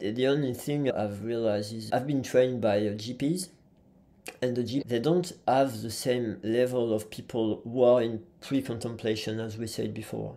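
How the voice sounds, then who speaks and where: In a French accent, a man speaks at medium pitch and a moderate pace, with a dark, mellow tone and fairly even intonation. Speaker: physiotherapist and trainer. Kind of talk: podcast interview. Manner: halting.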